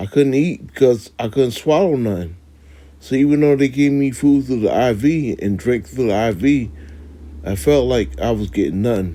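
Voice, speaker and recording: A man's medium-pitched voice with a dark, mellow tone and lively intonation. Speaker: religious teacher giving lessons. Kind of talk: testimony. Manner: slow; halting.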